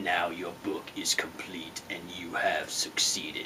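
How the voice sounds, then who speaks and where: Over loud background noise, a man whispers slowly-ish in a put-on character voice, keeping a fairly slow pace. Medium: comedy sketch. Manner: grandiose, bossy.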